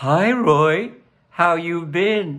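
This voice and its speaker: A man uses a put-on character voice. His pitch sits high. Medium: read story.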